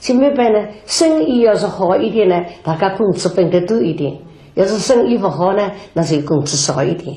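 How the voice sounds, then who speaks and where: Noticeable background noise surrounds a woman speaking at a medium pitch. Her pitch swings very widely. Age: 80s. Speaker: Yue opera performer. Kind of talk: documentary interview answer. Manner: slow, reminiscing.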